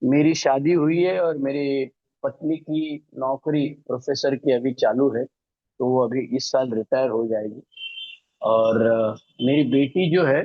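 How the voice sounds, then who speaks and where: A plain, everyday voice from a man at medium pitch, with fairly even intonation. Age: 60s. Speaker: recovering alcoholic speaker, retired law professor. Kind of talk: recovery testimony. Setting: online meeting from home, alone.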